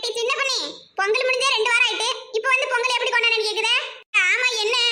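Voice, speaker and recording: A woman's cartoonish character voice, extremely high-pitched and monotone with flat intonation, at a fairly quick pace. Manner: blunt, mocking.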